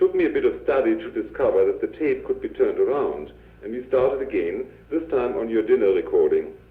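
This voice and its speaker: A man with a non-native accent talks at a very fast pace. Noticeable background noise is present. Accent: peculiar foreign. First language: German. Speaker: family member sending a taped letter. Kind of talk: recorded personal message.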